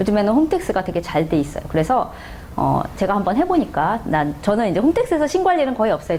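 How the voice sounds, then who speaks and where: A woman talks at a very fast pace, her pitch swinging very widely. Noticeable background noise runs underneath. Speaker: tax accountant lecturer. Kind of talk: lecture. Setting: classroom with audience.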